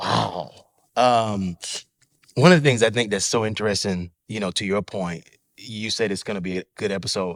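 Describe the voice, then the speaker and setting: The speaker uses a plain, everyday voice with an American accent, ordinary pitch variation and a moderate pace. The recording is very clean, with a silent background. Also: man. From Atlanta, US South. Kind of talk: casual chat.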